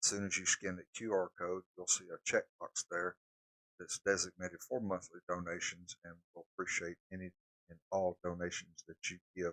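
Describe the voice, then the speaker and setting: Dry and close with no echo, a man's very deep voice has a bright, sharp tone, big swings in loudness, a moderate pace and flat, monotone intonation. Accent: Southern US. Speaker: storm spotter and weather streamer. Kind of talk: live weather coverage. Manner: casual, conversational.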